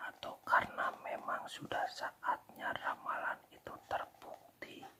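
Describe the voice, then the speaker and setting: Whispering, a man speaks at a very slow pace. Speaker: ASMR storyteller. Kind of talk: read fairy tale. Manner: whispered.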